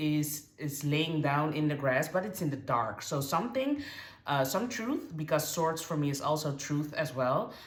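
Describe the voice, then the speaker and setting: A woman with a non-native accent and a very deep, low pitch, at a fairly slow pace amid audible room echo. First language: not English. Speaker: tarot reader. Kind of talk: tarot reading to camera. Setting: on camera, card shown far from camera. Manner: halting, many fillers and restarts.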